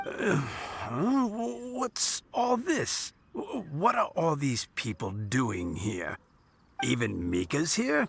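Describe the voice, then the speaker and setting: A man's put-on character voice, fairly high in pitch, with very wide pitch swings and a very slow pace. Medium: video game. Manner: warm, chuckling.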